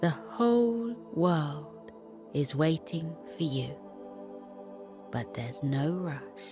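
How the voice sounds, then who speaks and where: Over music in the background, a woman speaks very slowly in a very deep, low voice with a gentle tone. Her pitch swings very widely, broken by long, frequent pauses. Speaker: bedtime story narrator. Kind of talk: children's sleep meditation. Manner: slow, gentle.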